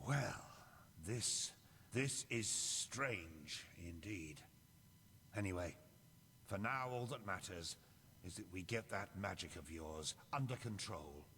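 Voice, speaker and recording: Using a gruff put-on character voice, a man speaks fairly slowly at a fairly low pitch with lively intonation and long, frequent pauses, clear background noise behind him. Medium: video game. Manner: gruff, sardonic.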